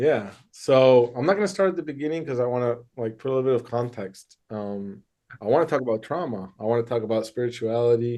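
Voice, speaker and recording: A man with a Michigan accent speaks at a fairly quick pace in a dark, mellow tone, his medium pitch showing ordinary variation. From US Midwest, Michigan. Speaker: therapist. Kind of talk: interview. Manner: casual, hesitant with fillers.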